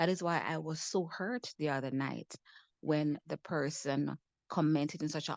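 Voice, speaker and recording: A woman speaks at a moderate pace with a very deep, low pitch and vocal fry. The sound is dry and close with no echo, and the background is quiet. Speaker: mental wellness advocate. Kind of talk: panel discussion talk.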